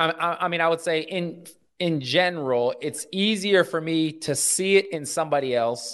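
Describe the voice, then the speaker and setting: Against a quiet background, a man with an American accent speaks in an ordinary speaking voice. His pace is moderate and his intonation is lively. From US Midwest, Omaha, Nebraska. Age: middle-aged. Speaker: pastor and nonprofit leader. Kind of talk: casual interview.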